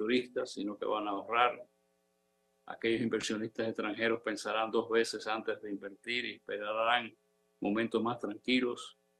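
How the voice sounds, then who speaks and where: In a monotone, flat intonation, a man speaks at a medium pitch and a fairly slow pace. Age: 80s+. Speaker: economic commentator. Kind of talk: opinion commentary.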